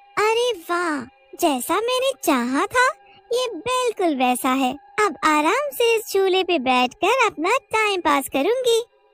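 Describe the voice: In a cartoonish character voice, a woman speaks at an extremely high pitch with very wide pitch swings and a fairly slow pace over faint background music.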